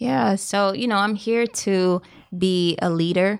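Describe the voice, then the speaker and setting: The speaker is a woman with a medium pitch. She talks at a fairly slow pace. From US South, South Carolina (Columbia). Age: 30s. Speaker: entrepreneur. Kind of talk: casual chat. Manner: matter-of-fact.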